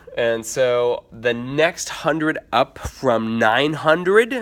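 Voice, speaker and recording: A man's voice with noticeable background noise. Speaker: teacher. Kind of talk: tutorial. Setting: empty classroom at night. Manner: fast.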